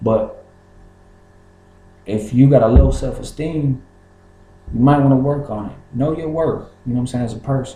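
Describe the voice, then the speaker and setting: At a moderate pace and medium pitch, a man with an American accent talks with fairly even intonation and long, frequent pauses, and audible room echo can be heard. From Kentucky, US. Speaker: rapper. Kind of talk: casual vlog monologue. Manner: halting, many fillers and repeats.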